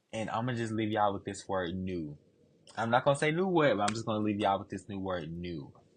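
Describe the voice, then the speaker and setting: A man with a fairly low pitch talks at a very fast pace in an animated tone with lively intonation. Music plays in the background. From US South, Georgia. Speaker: hair business owner. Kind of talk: casual chat. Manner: stutter.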